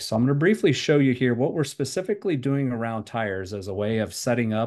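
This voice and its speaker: Against a quiet background, a man talks at a fairly quick pace in a normal speaking voice with ordinary pitch variation. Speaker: presenter. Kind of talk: product demo presentation. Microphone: webcam.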